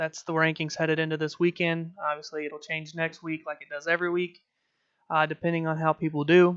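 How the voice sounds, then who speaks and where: Delivery comes at a fairly quick clip. Intonation is flat and monotone. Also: man, fairly high pitch for a man, big swings in loudness. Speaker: sports podcast host. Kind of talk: sports talk livestream. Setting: home livestream. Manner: fast; hesitant, many filler words.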